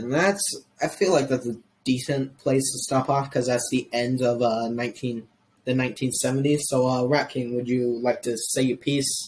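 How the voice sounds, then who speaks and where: Medium-pitched, somewhat breathy male voice with an American accent, a moderate pace and fairly even intonation. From US, Mexican heritage. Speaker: history podcast host. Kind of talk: casual podcast chat. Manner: halting, many restarts.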